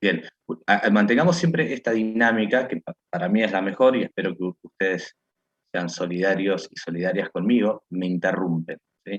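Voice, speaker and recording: With an ordinary speaking voice, a man talks at a moderate pace in a fairly low pitch and lively intonation. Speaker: law/philosophy professor. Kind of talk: online lecture class.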